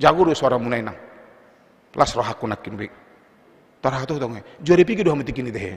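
At a very fast pace, a man of medium pitch uses lively intonation broken by long, frequent pauses. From North Sumatra, Indonesia (Batak). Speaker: pastor. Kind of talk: sermon. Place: church. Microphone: podium.

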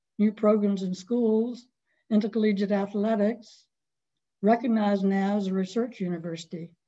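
A woman's monotone, flat delivery at a moderate pace, in a Southern US accent. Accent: Southern American. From North Carolina. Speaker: author; guest. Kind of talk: webinar presentation of memoir. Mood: warm, nostalgic. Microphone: video call.

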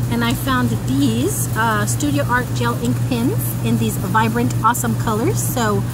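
Loud background noise around a woman's dry, echo-free voice. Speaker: haul vlogger. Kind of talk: casual vlog chat. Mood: cheerful, chatty. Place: garden. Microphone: phone near.

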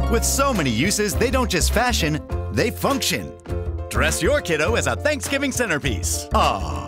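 Music plays in the background as a man speaks at a moderate pace. His loudness stays very even. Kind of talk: infomercial-style TV commercial read. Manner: upbeat, hard-sell.

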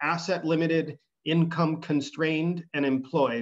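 A man with a fairly high pitch and fairly even intonation, over a quiet background. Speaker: economic development official. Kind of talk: presentation. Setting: video call. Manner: fast talker. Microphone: video call.

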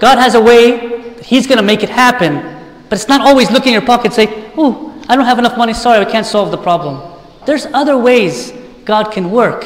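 At a moderate pace, a man talks with an extremely high pitch. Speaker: preacher. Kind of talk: sermon. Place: church.

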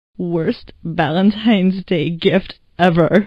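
Using a put-on character voice, a woman talks at a medium pitch and a fairly slow pace in a raspy tone. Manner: flirty, then hurt.

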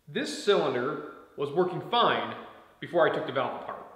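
There is audible room echo as a man speaks at a moderate pace with ordinary pitch variation. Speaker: DIY tractor owner. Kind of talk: explanatory vlog talk. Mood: frustrated but calm. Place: garage. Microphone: camera far.

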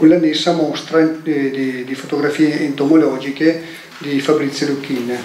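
The speaker keeps a moderate pace and fairly even intonation. Audible room echo and light background noise accompany the voice. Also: man. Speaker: event organizer. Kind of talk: event introduction. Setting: stage with audience. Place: hall. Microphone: handheld.

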